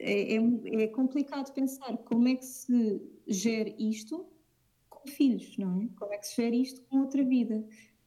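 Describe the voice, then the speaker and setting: A woman speaks at a fairly slow pace in a high voice. Her tone is dark and mellow, with ordinary pitch variation. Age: 20s. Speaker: aspiring curator. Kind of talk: casual interview.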